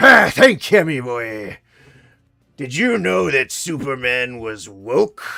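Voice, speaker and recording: The lines come out fairly slowly in an affected character voice. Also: man, medium pitch for a man. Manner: gruff, jovial.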